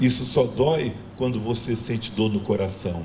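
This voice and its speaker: At a moderate pace, a man with an unremarkable speaking voice uses a medium pitch and ordinary pitch variation. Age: 60s. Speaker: community speaker. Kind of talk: panel talk.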